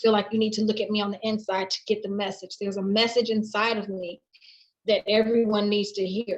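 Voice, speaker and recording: At a fairly quick pace, a woman speaks at a fairly high pitch with monotone, flat intonation. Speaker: interviewee sharing life story. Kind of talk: personal testimony in interview. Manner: loud.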